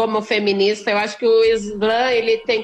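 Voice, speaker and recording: With fairly even intonation and a high pitch, a woman talks at a fairly slow pace. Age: 30s. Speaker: poet and activist. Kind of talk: casual interview.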